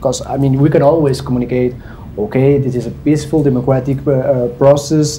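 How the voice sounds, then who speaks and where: A man's fairly quick, monotone delivery with flat intonation, amid noticeable background noise and audible room echo. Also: medium pitch for a man. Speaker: government public diplomacy representative. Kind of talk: panel discussion. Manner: halting.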